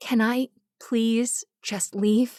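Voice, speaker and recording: A put-on character voice, female-sounding and fairly high in pitch for a woman. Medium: read story. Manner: low, quiet.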